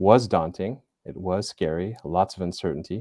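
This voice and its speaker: A man with a very deep, low voice and a dark, mellow tone speaks at a moderate pace, in a dry, close sound with no echo on a very clean recording with a silent background. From United States, California. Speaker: business school center director. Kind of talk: casual interview chat. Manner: halting, with fillers and repetitions.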